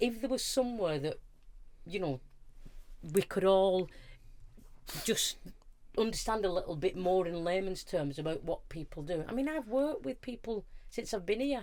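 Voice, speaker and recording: In a Lancashire accent, a woman speaks at a moderate pace with very wide pitch swings. Her pauses are long and frequent. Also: medium pitch for a woman. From northern England, Wigan. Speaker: charity manager. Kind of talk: casual chat.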